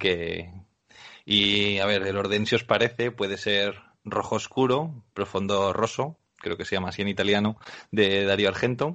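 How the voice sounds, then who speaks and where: Speaking fairly slowly with fairly even intonation, a man delivers his words in an unremarkable speaking voice at a fairly low pitch. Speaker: podcast co-host. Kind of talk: casual chat.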